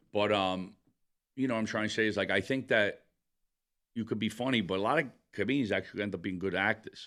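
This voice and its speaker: The voice has a strong New York accent and a bright, sharp tone, racing at a very fast pace with fairly even intonation. Long, frequent pauses break it up on a very clean recording with a silent background. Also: man, fairly low pitch for a man. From Brooklyn, New York. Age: 40s. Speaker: stand-up comedian. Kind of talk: casual chat.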